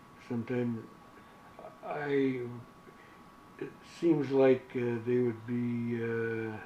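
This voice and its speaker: A man speaks very slowly at a medium pitch, in a monotone with flat intonation and long, frequent pauses. Noticeable background noise sits behind him. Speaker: war veteran. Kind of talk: interview. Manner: halting.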